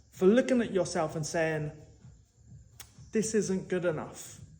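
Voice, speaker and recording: A man speaks with lively intonation, and room echo is audible around him. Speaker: motivational speaker / personal trainer. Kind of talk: motivational monologue.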